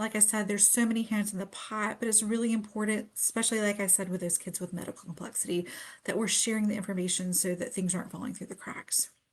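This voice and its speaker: A woman talks at a very fast pace in a fairly high pitch. Her voice is somewhat breathy, with fairly even intonation. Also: hardly any pauses. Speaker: pediatric nurse practitioner. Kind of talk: webinar presentation. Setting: Facebook live stream.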